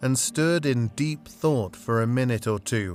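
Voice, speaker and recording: Over background music, a man at a medium pitch speaks at a fairly slow pace with lively intonation. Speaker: narrator. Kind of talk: audiobook reading. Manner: calm, relaxing.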